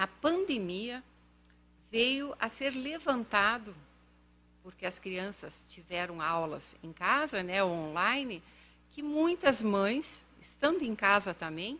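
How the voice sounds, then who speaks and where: This woman speaks at a very slow pace, her pitch medium with very wide swings. Her tone is bright and sharp. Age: 50s. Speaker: podcast guest, education advocate. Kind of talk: podcast interview.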